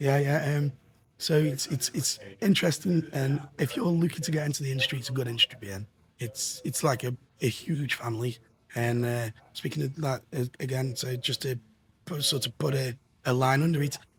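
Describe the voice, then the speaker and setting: Noticeable background noise is present throughout. Over it, a man's voice sits at a medium pitch. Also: ordinary pitch variation. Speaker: tech industry representative. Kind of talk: casual interview chat. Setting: trade show venue. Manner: halting, many fillers.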